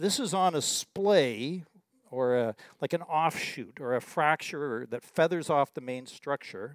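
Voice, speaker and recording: A man with a plain, everyday voice, fairly high-pitched, with lively intonation and a fairly slow pace, in a dry sound with no echo over a quiet background. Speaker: exploration geologist. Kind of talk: presentation. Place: hall. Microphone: podium.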